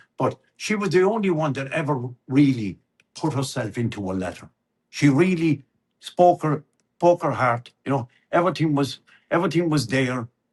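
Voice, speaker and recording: Speaking with a Limerick accent, a man uses a fairly high, somewhat breathy voice with lively intonation, a moderate pace and long, frequent pauses. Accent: Irish, East Limerick. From Ireland. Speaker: storyteller. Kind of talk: interview answer, personal storytelling. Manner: chatty, conversational.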